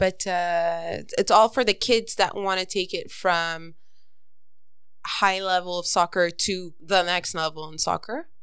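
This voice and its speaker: Over a very clean recording with a silent background, a woman with a Montreal accent speaks fairly slowly at a medium pitch with fairly even intonation. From Montreal West Island, Canada. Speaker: guest. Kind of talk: casual chat.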